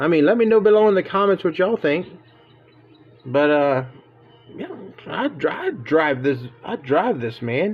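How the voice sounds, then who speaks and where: A high-pitched man with an American accent talks at a moderate pace, with very wide pitch swings. Long, frequent pauses break up his speech over noticeable background noise. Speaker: diecast car hobbyist YouTuber. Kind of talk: casual vlog talk to camera. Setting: outdoors. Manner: animated, folksy.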